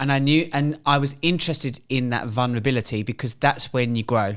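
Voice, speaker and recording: The speech runs at a fairly quick pace with hardly any pauses and ordinary pitch variation. The recording is very clean, with a silent background. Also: man. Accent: British. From England. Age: 40s. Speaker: journalist and writer. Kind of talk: podcast interview.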